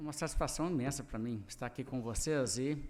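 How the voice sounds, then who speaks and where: Delivery is at a moderate pace with fairly even intonation. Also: man. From Brazil, Minas Gerais. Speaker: pastor. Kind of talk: sermon. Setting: church service.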